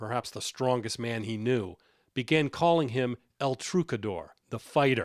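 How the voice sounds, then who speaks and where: With an unremarkable speaking voice, a man talks at a moderate pace and medium pitch, his intonation lively. The sound is dry and close with no echo, on a very clean recording with a silent background. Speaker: television news correspondent and anchor. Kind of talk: broadcast news narration. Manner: measured, professional.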